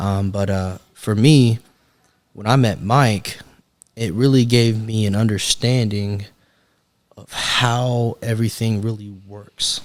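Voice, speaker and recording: In a Texan accent, a man with a fairly low voice speaks at a very slow pace, leaving long, frequent pauses. His intonation stays fairly even while his loudness swings widely. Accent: Texan American. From Texas, Springtown near Fort Worth. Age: 20s. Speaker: sales director. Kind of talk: casual interview chat.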